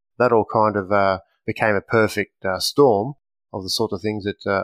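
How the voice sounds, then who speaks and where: The speech comes at a moderate pace with fairly even intonation, sounding dry and close with no echo against a quiet background. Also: man. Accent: Australian. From Australia, Western Sydney. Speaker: firearms company representative, former police officer. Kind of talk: podcast interview. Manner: hesitant, many fillers.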